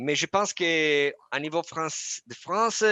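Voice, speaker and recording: Recorded with a dry, close sound with no echo against a quiet background, a man with a non-native accent speaks with lively intonation. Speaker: product manager presenting software. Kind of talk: webinar presentation and Q&A. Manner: halting, many hesitations.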